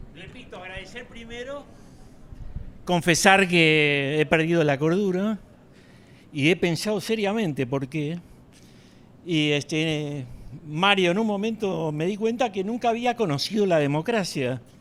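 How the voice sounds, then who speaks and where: A man with a high pitch talks at a fairly slow pace, leaving long, frequent pauses. His intonation is lively. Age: 70s. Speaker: audience member. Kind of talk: audience comment.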